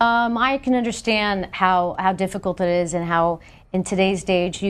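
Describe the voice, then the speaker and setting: Here a woman speaks at a fairly low pitch. The background is quiet. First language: Spanish. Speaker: congresswoman. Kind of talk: TV interview answering callers. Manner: hesitant, many fillers.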